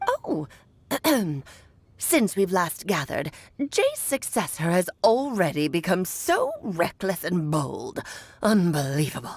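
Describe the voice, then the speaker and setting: A woman's put-on character voice at a medium pitch, fairly slow, with long, frequent pauses. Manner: imperious, scolding.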